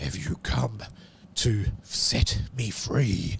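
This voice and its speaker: A man's fairly low-pitched, put-on character voice. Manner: eerie, questioning.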